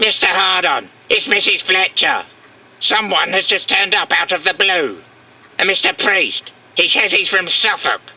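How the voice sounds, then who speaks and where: A man does a put-on character voice at an extremely high pitch. His loudness stays very even. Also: moderate pace. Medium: comedy sketch.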